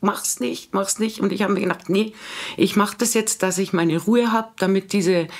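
A woman speaks with an unremarkable speaking voice. Her pitch is medium, with ordinary pitch variation. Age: 50s. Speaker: office worker sharing vaccine injury story. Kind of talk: personal testimony.

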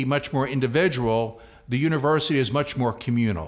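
A man talks at a fairly quick pace with a New York accent. His pitch varies in an ordinary way. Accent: New York City. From New York City, the Bronx. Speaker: university president. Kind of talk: interview. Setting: studio.

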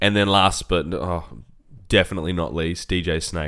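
Marked by vocal fry, the voice moves at a fairly quick pace on a very clean recording with a silent background. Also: man. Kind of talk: casual chat.

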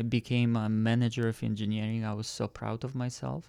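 Fairly even intonation comes at a moderate pace on a very clean recording with a silent background. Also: man. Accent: non-native. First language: not English. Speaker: engineer turned e-commerce seller. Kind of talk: casual interview chat. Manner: soft-spoken.

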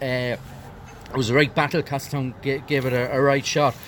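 This is a man speaking. He talks in a Westmeath Irish accent. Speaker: hurling match analyst. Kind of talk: post-match analysis.

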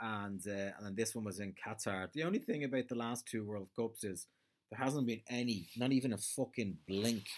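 This man speaks with an Irish accent at medium pitch. His pitch moves in an ordinary way. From Ireland. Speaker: comedian. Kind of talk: solo comedy podcast monologue. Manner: casual, hesitant with frequent ums.

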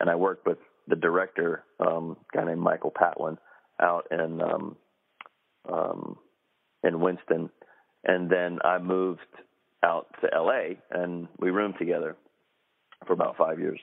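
Speaking in a North Carolina accent, a man keeps a fairly slow pace with long, frequent pauses. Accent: US Southern (North Carolina). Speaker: actor. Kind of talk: interview. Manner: halting, many fillers.

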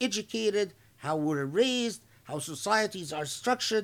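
A man speaks in a high voice, his pitch swinging very widely. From Egypt. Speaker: Islamic scholar. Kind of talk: religious lecture.

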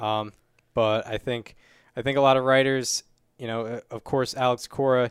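A man talks at a moderate pace with fairly even intonation and a medium pitch, in an ordinary speaking voice. The recording is very clean with a silent background and a dry, close sound with no echo. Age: 20s. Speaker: baseball podcast host. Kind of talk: casual chat.

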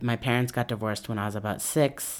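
A man speaks with an American accent and fairly even intonation. He has an ordinary speaking voice. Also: very clean recording, silent background. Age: 20s. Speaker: interviewee. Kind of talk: personal testimony.

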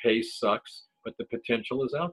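With music playing behind him, a man with an American accent speaks at a medium pitch and a moderate pace, his intonation lively. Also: dry, close sound with no echo. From Ohio, Cleveland. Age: 60s. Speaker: podcast host and cannabis grower. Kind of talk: casual chat. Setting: video call.

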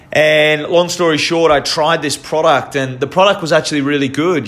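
Fairly even in intonation, a man's voice moves at a fairly quick pace. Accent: Australian. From Australia, Victoria (Queenscliff, Melbourne). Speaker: podcast host. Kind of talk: personal storytelling monologue. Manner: halting, many fillers and repetitions.

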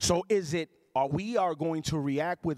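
With a Puerto Rican accent and an animated tone, a man with a fairly high pitch speaks in a dry, close sound with no echo. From Puerto Rico. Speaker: pastor. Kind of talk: sermon. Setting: church. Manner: loud.

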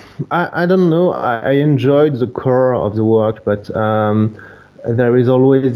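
A man with a French accent, at a moderate pace. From France, near Bordeaux. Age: 30s. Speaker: wedding photographer. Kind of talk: casual chat. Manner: halting.

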